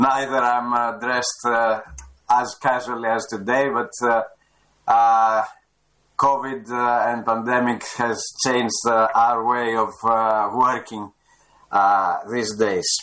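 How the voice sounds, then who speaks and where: At a very slow pace, a man with a Greek accent speaks in a bright, sharp tone. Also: medium pitch for a man, fairly even intonation. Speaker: government official. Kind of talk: formal opening remarks. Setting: video conference from home. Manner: halting, many fillers.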